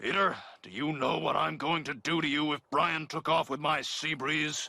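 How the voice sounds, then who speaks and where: A man puts on a raspy character voice at a fairly high pitch. He keeps a moderate pace. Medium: cartoon.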